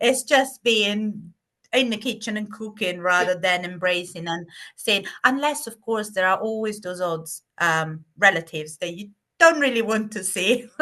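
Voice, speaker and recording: Against a quiet background, a woman with an Italian accent speaks fairly slowly in a bright, sharp, medium-pitched tone, her intonation lively and her loudness swinging widely. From southern Italy. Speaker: private chef. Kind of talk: interview answer.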